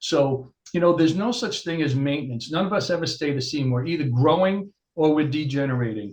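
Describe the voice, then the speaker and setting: Somewhat breathy, a man with a fairly high pitch talks at a fairly quick pace with lively intonation. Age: 60s. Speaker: chiropractor. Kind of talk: interview.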